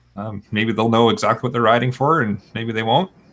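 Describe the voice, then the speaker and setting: A man with a Canadian accent has an unremarkable speaking voice with fairly low pitch. His intonation is fairly even, on a very clean recording with a silent background. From Southern Ontario, Canada. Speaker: podcast host. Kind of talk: casual chat.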